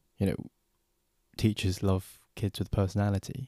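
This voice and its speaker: With a London accent, a man speaks at a fairly slow pace in a dark, mellow tone, the sound dry and close with no echo in a very clean recording with a silent background. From London, England. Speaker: podcast host. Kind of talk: solo podcast monologue. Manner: casual.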